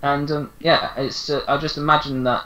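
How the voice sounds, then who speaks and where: Keeping a moderate pace, the man talks with an English accent. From England. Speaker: podcast co-host. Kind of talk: casual chat.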